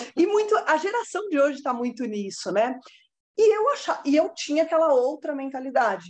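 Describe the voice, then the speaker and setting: Very wide swings in pitch from a woman talking high and at a moderate tempo. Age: 30s. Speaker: lawyer turned social media content creator. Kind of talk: casual interview chat.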